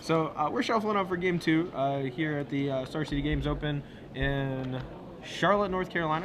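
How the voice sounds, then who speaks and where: With an American accent, a man talks at a fairly quick pace in a fairly high voice with ordinary pitch variation, amid noticeable background noise and audible room echo. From US South, Alabama. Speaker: esports commentator. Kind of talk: live commentary. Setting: tournament venue.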